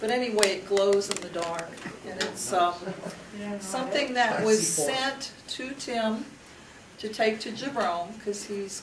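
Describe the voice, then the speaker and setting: Noticeable background noise and audible room echo surround a woman who speaks at a very slow pace with ordinary pitch variation. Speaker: event host. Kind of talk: introduction speech.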